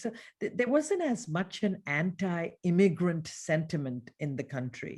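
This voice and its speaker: With a slight Indian accent, a woman speaks in a very clean recording with a silent background. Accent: very muted Indian English. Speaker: business executive, former wealth advisor. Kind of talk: interview conversation. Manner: frequent repetitions and fillers.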